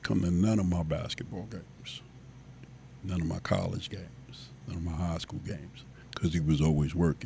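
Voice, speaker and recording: With music in the background, a man speaks at a moderate pace in a very deep, low pitch. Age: 60s. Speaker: basketball coach. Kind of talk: casual chat.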